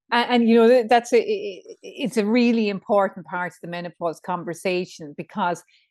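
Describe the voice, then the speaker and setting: Recorded dry and close with no echo against a quiet background, a woman speaks with an Irish accent and ordinary pitch variation. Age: 50s. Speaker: menopause coach. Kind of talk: casual chat.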